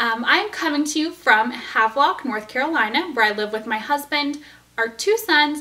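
A woman speaks in a raised, projected voice at a fairly slow pace with lively intonation. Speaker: knitting podcast host. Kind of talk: casual vlog chat. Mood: cheerful, friendly. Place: home room. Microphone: camera far.

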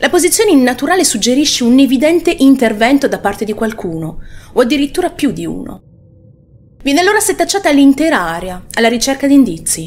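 A woman's high voice, very fast, with very wide pitch swings. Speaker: true crime channel host. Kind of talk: true-crime narration. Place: home room. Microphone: studio mic.

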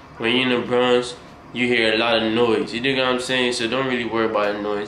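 A man's very fast, monotone delivery amid light background noise and audible room echo. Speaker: reaction video creator. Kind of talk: casual vlog chat. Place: home room. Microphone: phone near.

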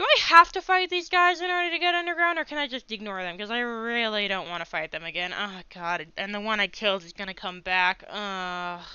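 A man talks at a fairly quick pace with few pauses, his voice high for a man and fairly even in intonation. His tone is clear and smooth, yet also bright and sharp.

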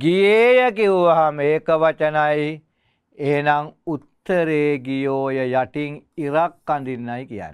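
A fairly high-pitched man's voice with lively intonation, very slow pace and a quiet background. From Sri Lanka. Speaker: teacher. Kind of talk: tutorial. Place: studio.

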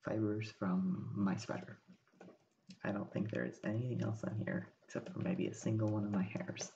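Over light background noise, a soft-spoken man talks at a moderate pace with a fairly low pitch and lively intonation. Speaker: ASMR creator. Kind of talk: ASMR soft speaking. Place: home room. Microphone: studio mic.

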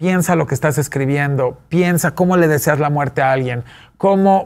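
A man speaks at a moderate pace with lively intonation. His pitch is fairly high, and the background is quiet. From Mexico City. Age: 40s. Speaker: businessman and fashion expert; talk show guest. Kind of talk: interview. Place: studio.

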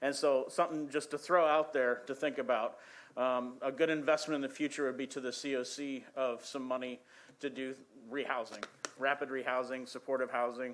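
At a fairly quick pace, a man speaks at medium pitch in a monotone, flat intonation. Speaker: shelter director presenting to council. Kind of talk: public testimony at council meeting. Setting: city council chamber. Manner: fast.

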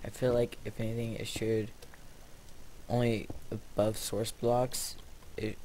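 A man talks at a fairly slow pace in a monotone, flat intonation. Light background noise is present. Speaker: gamer. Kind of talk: casual gameplay commentary.

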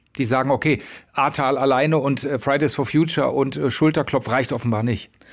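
A man's voice at a fairly quick pace, with ordinary pitch variation, over a quiet background. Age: middle-aged. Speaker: podcast moderator. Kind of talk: moderated debate.

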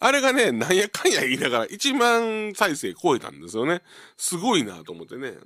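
A man with a Kansai accent talks at a fairly quick pace in a high pitch, his voice making very wide pitch swings on a very clean recording with a silent background. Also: big swings in loudness. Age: 50s. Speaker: radio host, comedian. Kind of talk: live radio monologue. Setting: radio studio with empty gallery. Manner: casual, filler-heavy with laughs.

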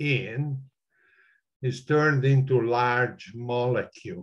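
A man's somewhat breathy, medium-pitched voice at a very slow pace. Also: quiet background. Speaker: retired mathematics and physics professor. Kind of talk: online discussion. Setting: video call. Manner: animated. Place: home room. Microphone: webcam.

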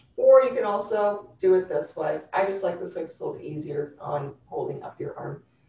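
A woman at a moderate pace, hardly any pauses, big swings in loudness, and audible room echo. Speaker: yoga instructor. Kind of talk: guided chair yoga class. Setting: live online class. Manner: clear instructional cueing. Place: home room. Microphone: webcam.

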